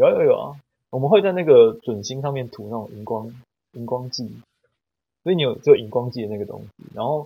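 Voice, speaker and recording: This man talks at a fairly quick pace with a medium pitch, ordinary pitch variation, big swings in loudness, and long, frequent pauses. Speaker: podcast guest. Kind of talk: casual chat.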